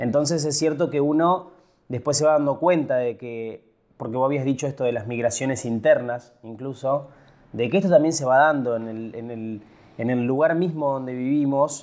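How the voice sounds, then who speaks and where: A man speaks in a plain, everyday voice at a fairly high pitch. His pace is moderate and his pitch varies in an ordinary way. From Buenos Aires province, Argentina. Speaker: podcast host. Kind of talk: casual chat.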